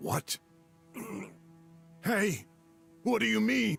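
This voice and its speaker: Putting on a raspy character voice, a man speaks at a fairly high pitch with very wide pitch swings, the sound dry and close with no echo and faint music in the background. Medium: video game.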